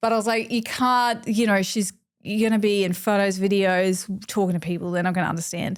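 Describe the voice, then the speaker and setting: Recorded very cleanly over a silent background, a woman talks at a fairly quick pace. Her intonation is fairly even and her loudness very even. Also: medium pitch for a woman. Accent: strong Australian. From Queensland, Australia. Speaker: makeup artist. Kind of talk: casual chat.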